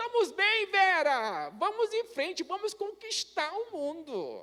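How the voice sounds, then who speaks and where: Speaking very slowly, a man is heard against noticeable background noise. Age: 60s. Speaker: pastor. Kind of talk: sermon. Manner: conversational, some hesitations.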